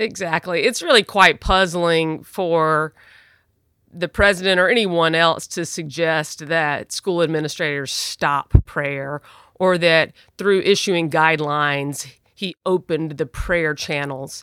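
A woman with a fairly low pitch and a bright, sharp tone speaks at a fairly slow pace with ordinary pitch variation, in a dry, close sound with no echo on a very clean recording with a silent background. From US South, Jackson, Mississippi. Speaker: religious liberty lawyer. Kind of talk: interview.

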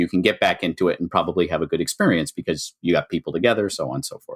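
This man talks at a very fast pace. The recording is very clean, with a silent background and a dry, close sound free of echo. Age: 50s. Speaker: board game designer. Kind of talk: casual interview.

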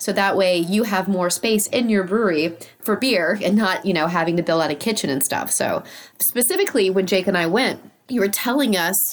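Clear background noise sits behind a woman talking. Her speed is moderate and her pitch shifts in an ordinary way. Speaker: podcast host and interviewer. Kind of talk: casual chat. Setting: video call interview via remote recording.

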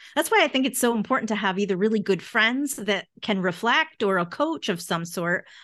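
A woman with a normal speaking voice, fairly high in pitch, with lively intonation, a fairly quick pace, hardly any pauses and very even loudness, against a quiet background. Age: 50s. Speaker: mindset coach and author. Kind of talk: interview.

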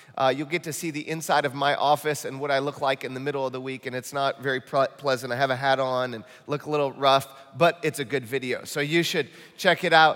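A man with an American accent talks at a very fast pace in a fairly high pitch. His intonation is monotone and flat, with noticeable background noise. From Michigan, US Midwest. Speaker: pastor. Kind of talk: sermon. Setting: church. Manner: earnest, urgent.

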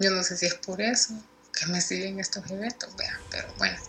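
Someone with a Salvadoran accent talks at a moderate pace. Noticeable background noise runs underneath. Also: woman. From El Salvador, San Salvador. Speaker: listener sharing paranormal story. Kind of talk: testimony.

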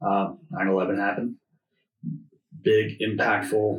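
At a very slow pace, a man speaks somewhat breathily with an American accent, fairly low pitch and ordinary pitch variation. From Oklahoma City, US. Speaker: networker and relationship builder. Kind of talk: casual interview chat. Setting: studio.

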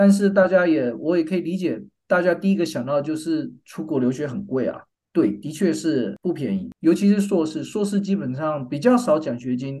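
Speaking with a Taiwanese accent, a man uses lively intonation in a fairly high voice with a dark, mellow tone. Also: moderate pace. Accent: Taiwanese Mandarin. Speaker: business school professor and department chair. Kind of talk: interview.

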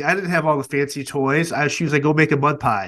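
Over a quiet background, a man with an unremarkable speaking voice talks at a fairly quick pace and fairly high pitch with fairly even intonation. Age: 30s. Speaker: podcast host and former security agent. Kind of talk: casual interview.

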